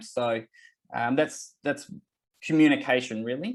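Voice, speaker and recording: A fairly slow pace against a quiet background. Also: man. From Australia. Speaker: company representative presenting a webinar. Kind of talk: webinar presentation. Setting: online webinar. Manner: hesitant, many fillers.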